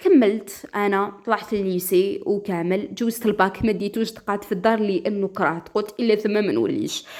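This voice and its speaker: A woman with an Algerian accent and a fairly high pitch, on a very clean recording with a silent background. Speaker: storyteller. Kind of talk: first-person story narration.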